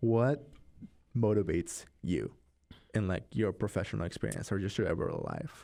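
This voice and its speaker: Speaking at a moderate pace, a man uses long, frequent pauses. His voice is fairly low in pitch, with vocal fry and a dark, mellow tone. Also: lively intonation. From Mexico. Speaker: student podcast co-host. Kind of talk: casual chat.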